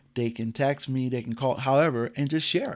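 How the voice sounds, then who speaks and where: The recording is very clean, with a silent background. A man speaks at a medium pitch in an animated tone. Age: 50s. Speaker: athletic coach and podcast host. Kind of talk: casual chat.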